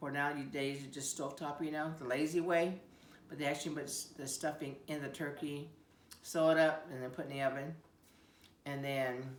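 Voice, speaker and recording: In an American accent, a woman with a very deep, low pitch speaks at a moderate pace in a monotone, flat intonation, with long, frequent pauses and noticeable background noise. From Siletz, Oregon. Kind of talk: interview answer.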